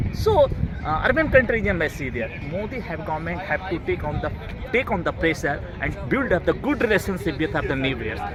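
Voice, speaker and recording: With crowd noise in the background, a man speaks at a fairly quick pace in a high pitch with very wide pitch swings. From rural North India. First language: Bhojpuri, Maithili, Magahi, Hindi. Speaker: vlogger. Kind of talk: outdoor vlog tour commentary. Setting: outdoors at a monument. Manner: halting, non-fluent English.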